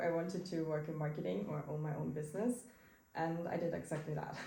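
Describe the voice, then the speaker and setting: With audible room echo, a woman speaks at a fairly quick pace. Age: 20s. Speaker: marketing entrepreneur, digital nomad. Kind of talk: interview. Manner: halting.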